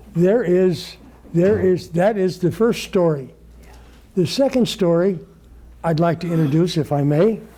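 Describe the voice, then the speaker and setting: With audible room echo, a man speaks in a high, dark and mellow voice at a fairly slow pace, with ordinary pitch variation, very even loudness, and long, frequent pauses. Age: 80s+. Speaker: Bible study teacher. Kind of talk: Bible study lecture with group discussion. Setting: congregation study group, live. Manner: halting.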